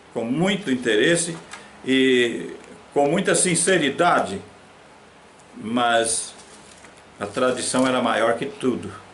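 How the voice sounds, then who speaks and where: Lively intonation comes at a very slow pace with long, frequent pauses, heard through audible room echo and noticeable background noise. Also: man, medium pitch for a man. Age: 80s+. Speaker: pastor. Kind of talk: sermon.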